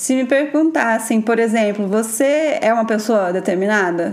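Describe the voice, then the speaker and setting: A woman's fairly high voice with lively intonation and audible room echo. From Brazil, São Paulo state interior. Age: 30s. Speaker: podcast host, educator. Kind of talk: casual monologue. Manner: animated.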